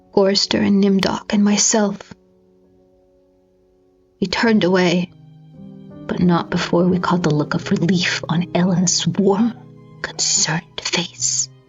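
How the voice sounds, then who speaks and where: Over music in the background, a woman speaks in a dramatic, intense tone at a fairly slow pace, with ordinary pitch variation, very even loudness and long, frequent pauses. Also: fairly low pitch for a woman. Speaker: audiobook narrator. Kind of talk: dramatic horror fiction reading.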